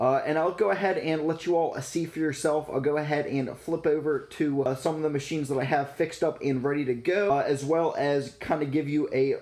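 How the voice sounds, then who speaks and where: A man talks at a fairly quick pace with hardly any pauses. His intonation stays fairly even. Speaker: vending business vlogger. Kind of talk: casual vlog chat. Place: home room. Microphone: phone near.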